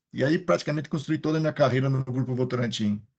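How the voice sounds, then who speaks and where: A somewhat breathy man speaks at a fairly high pitch with fairly even intonation. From Piracicaba, interior of São Paulo state, Brazil. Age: 50s. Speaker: maintenance engineering consultant. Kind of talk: panel discussion in a live stream.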